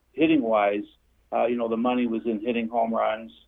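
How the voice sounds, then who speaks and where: A man talks at a medium pitch. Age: 60s. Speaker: former baseball scout. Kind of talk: interview.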